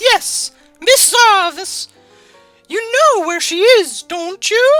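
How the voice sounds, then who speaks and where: Over faint background music, a woman does a squeaky, put-on character voice at an extremely high pitch, with very wide pitch swings and a very slow pace. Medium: read story. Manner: firm, teacherly.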